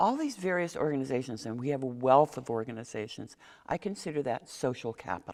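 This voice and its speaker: A woman speaks with a very deep, low pitch and ordinary pitch variation. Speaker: mayoral candidate. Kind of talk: candidate forum interview. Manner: fast.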